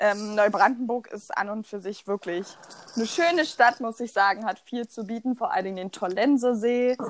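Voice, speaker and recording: Animated in tone, a woman speaks at a fairly high pitch with ordinary pitch variation. Her pace is moderate, and her loudness swings widely. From eastern Germany, Rheinsberg, Brandenburg. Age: 20s. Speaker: student podcast co-host. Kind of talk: casual chat.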